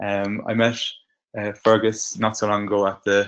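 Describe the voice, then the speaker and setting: Against a quiet background, a man speaks in a fairly low voice. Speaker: adult education innovator. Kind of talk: webinar presentation. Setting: online webinar. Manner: hesitant, many fillers.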